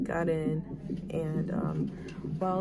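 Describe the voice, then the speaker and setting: Loud background noise surrounds a woman as she talks. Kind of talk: casual vlog storytelling. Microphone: phone near.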